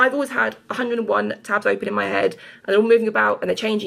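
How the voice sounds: With vocal fry and a fairly bright tone, a woman speaks at a medium pitch in fairly even intonation.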